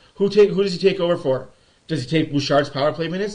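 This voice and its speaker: The man's tone is animated. His pitch varies in an ordinary way. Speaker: sports livestream host. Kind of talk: live game commentary and fan chat. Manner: fast.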